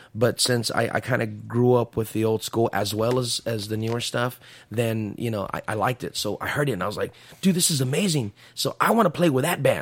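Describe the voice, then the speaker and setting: In an American accent, a man talks at a fairly quick pace. His pitch sits at a medium level with ordinary pitch variation. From San Antonio South Side, Texas. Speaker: Tejano musician. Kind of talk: casual interview chat.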